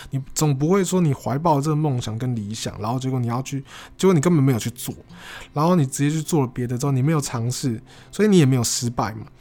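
Very fast speech comes from a man with a dark, mellow tone at medium pitch. The recording is very clean, with a silent background. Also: ordinary pitch variation. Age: 20s. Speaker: podcaster. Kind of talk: casual solo monologue.

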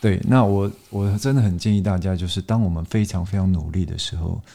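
A man speaks in a very deep, low, somewhat breathy voice at a moderate pace. His intonation is fairly even, and the recording is very clean with a silent background. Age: 30s. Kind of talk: casual chat.

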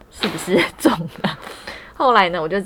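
A woman speaks with a fairly low pitch. Noticeable background noise runs behind her. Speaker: podcast host. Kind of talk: casual chat. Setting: small room at home, masked.

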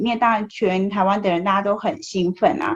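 A woman's somewhat breathy voice. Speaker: podcast host. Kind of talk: interview. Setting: remote recording in Taipei.

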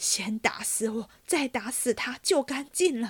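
A woman puts on a character voice with a high pitch. It sounds shaky and moves at a fairly slow pace. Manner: trembling.

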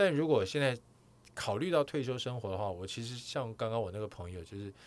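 This man has an ordinary speaking voice, fairly low in pitch with ordinary pitch variation, talking at a moderate pace on a very clean recording with a silent background. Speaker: podcast host, sports broadcaster. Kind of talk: casual chat.

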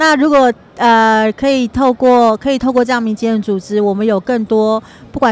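At a moderate pace, a woman with a fairly high pitch talks with ordinary pitch variation over noticeable background noise. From Hualien, Taiwan. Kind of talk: casual interview. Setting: outdoors in Times Square.

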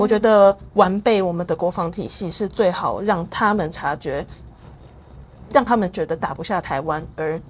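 Against a quiet background, a woman with an unremarkable speaking voice talks at a medium pitch and moderate pace, with ordinary pitch variation. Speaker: think tank intern and researcher. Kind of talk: interview.

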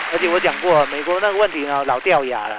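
Over noticeable background noise, a man speaks in an animated, energetic tone. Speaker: stock market analyst. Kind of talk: radio market commentary.

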